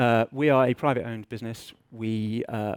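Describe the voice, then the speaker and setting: A man speaks with an English accent at a medium pitch. The recording is very clean, with a silent background. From England. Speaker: business intelligence director, conference speaker. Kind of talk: conference presentation. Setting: stage with audience. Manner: casual, self-deprecating with fillers.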